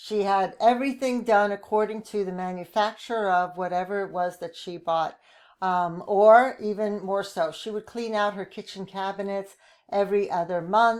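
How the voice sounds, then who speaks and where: A woman with an ordinary speaking voice, medium in pitch, at a moderate pace with fairly even intonation. Her loudness swings widely, on a very clean recording with a silent background. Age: 60s. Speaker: podcast host, retired occupational therapist. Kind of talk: informational podcast talk. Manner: casual with frequent fillers.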